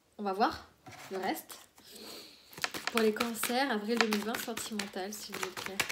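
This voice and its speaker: Through noticeable background noise and audible room echo, a woman with a fairly high pitch speaks in fairly even intonation, leaving long, frequent pauses. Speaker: tarot card reader. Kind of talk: tarot reading video. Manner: fast; hesitant, many fillers.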